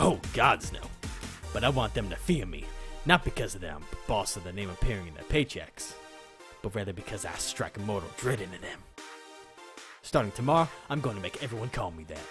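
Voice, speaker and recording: Over clear background music, a man does a put-on, guttural character voice at a fairly low pitch, talking at a fairly quick pace with long, frequent pauses. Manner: threatening.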